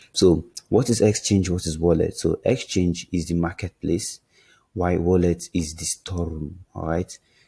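In a very clean recording with a silent background, a man speaks at a moderate pace. His very deep, low voice has a dark, mellow, somewhat breathy tone and a dry, close sound with no echo. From Nigeria. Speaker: crypto trading YouTuber. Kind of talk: casual explainer video. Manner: animated; filler-heavy, hesitant.

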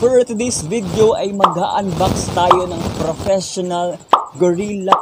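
Dry, echo-free sound with clear music playing behind it. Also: man. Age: 20s. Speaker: vlogger. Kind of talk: unboxing vlog. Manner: animated.

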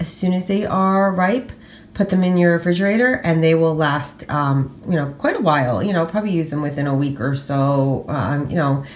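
A woman talks at a moderate pace in an unremarkable speaking voice. Her pitch is fairly low and her intonation is lively. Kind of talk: casual vlog chat. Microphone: phone near.

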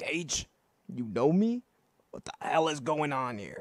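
A man with a fairly high pitch speaks at a fairly slow pace, his pitch swinging very widely. The sound is dry and close, with no echo. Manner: terse, intense, confused.

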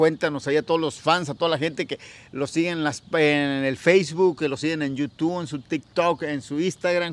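At a moderate pace, a man with a high pitch talks in a dry sound with no echo. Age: 40s. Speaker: music interviewer, vlogger. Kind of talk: casual interview. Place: garden.

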